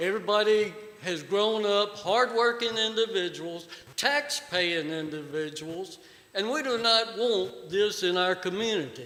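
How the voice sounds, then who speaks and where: In a Virginia accent, a man with a high pitch uses a raised, projected voice, lively intonation and a fairly slow pace. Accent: Southern US (Virginia). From Virginia, Pittsylvania County. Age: 60s. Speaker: resident speaking at public hearing. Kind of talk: public comment at hearing. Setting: board meeting room. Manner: animated.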